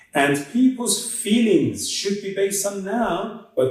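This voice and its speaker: Speaking very slowly, a man with a non-native accent uses a high pitch. His voice makes very wide pitch swings. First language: not English. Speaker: author discussing own book. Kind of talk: interview answer.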